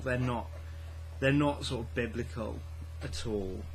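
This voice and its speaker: With audible room echo and noticeable background noise, a man speaks at a fairly low pitch that makes very wide swings. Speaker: book vlogger. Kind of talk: casual vlog. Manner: quiet; hesitant, many fillers and repeats.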